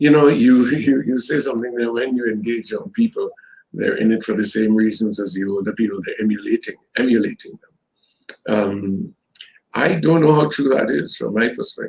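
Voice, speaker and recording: A man with a Trinidadian accent speaks at a moderate pace. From Trinidad and Tobago. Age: 70s. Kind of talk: interview.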